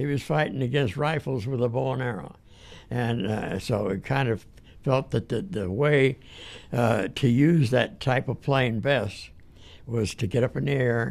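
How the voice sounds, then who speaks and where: A man with an American accent talks at a medium pitch and a fairly slow pace. His voice shows vocal fry and ordinary pitch variation. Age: 80s+. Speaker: war veteran. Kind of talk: interview answer.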